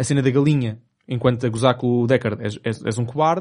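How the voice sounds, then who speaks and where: Speech comes at a very fast pace with ordinary pitch variation. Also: man. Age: 20s. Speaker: podcast host. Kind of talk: casual chat.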